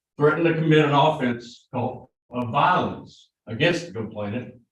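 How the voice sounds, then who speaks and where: With audible room echo, a man talks at a moderate pace in a medium-pitched, somewhat breathy voice with ordinary pitch variation. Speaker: prosecutor. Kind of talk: jury selection questioning. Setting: courtroom. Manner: conversational.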